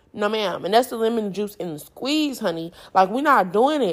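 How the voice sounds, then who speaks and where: In a very clean recording with a silent background, a woman speaks with an animated tone, a fairly high pitch and very wide pitch swings. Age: 20s. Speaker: podcast host. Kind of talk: casual solo podcast monologue.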